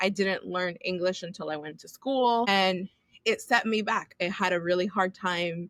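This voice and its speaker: With a Spanish accent, a woman speaks at a medium pitch in a dry, close sound with no echo. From US, Dominican and Puerto Rican family. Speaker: children's book author. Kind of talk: interview.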